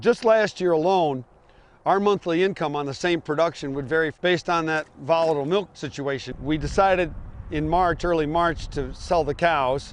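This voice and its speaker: Over a quiet background, a man with an unremarkable speaking voice talks at a moderate pace, his fairly high pitch showing ordinary variation. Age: 60s. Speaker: dairy farmer. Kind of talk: documentary interview.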